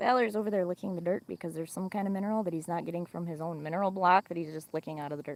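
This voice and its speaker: Very fast and with hardly any pauses, a woman with a strong Midwestern accent talks in an animated tone at a fairly low pitch, with ordinary pitch variation. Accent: Midwestern, thick by own account. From Wisconsin. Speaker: farm livestreamer. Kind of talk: casual livestream chat. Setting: outdoors on a farm. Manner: chatty, animated.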